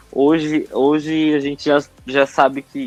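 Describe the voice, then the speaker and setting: A man is heard with music in the background, his sound dry and close with no echo. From northern Brazil, Manaus. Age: 30s. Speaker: entrepreneur and advertising professional. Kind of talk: podcast interview.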